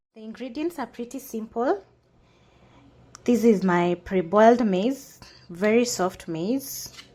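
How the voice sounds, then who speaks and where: A woman speaks with a Kenyan accent. Her pitch sits fairly high. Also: long, frequent pauses. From Kenya (Kikuyu). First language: Kikuyu. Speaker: cooking channel host. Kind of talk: cooking tutorial. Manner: casual, with hesitations.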